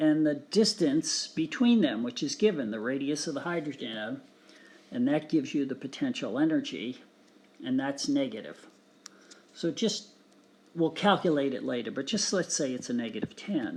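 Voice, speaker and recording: Fairly high pitch from a man with lively intonation at a moderate pace, a normal speaking voice. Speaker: physics teacher. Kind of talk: tutorial.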